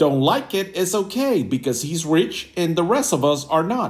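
A man's high voice with very wide pitch swings at a fairly slow pace. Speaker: podcast host. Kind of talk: casual interview chat.

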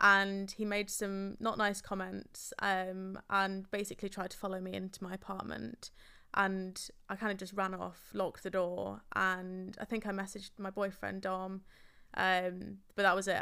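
A woman speaks in an English accent with a bright, sharp tone and monotone, flat intonation. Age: 20s. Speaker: running club founder. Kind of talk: casual chat.

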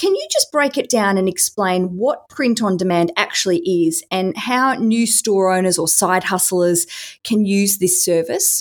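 A woman with an ordinary speaking voice, medium pitch, lively intonation and a fairly slow pace. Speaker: podcast host and interviewer. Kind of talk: interview.

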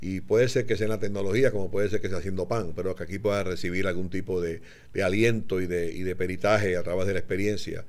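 Very fast delivery pairs with intonation that stays fairly even. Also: man, very deep, low pitch for a man. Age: 60s. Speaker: business podcast host. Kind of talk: casual chat.

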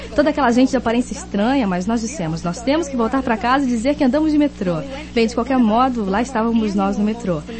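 A high-pitched woman with an English accent, enthusiastic and lively in intonation, talking at a very fast pace over noticeable background noise. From Kenosha, Wisconsin. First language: English (speaking Portuguese). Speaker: network marketing speaker. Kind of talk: motivational talk.

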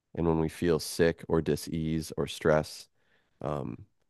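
A man with an American accent, very deep and low in pitch, at a fairly slow pace. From US Midwest, Michigan. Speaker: musician and sound healer. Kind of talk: casual chat.

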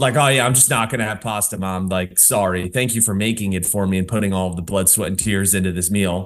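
A man speaks with an American accent at a fairly quick pace. He keeps his intonation fairly even and hardly pauses. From New Jersey. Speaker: fitness coach. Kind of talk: casual interview.

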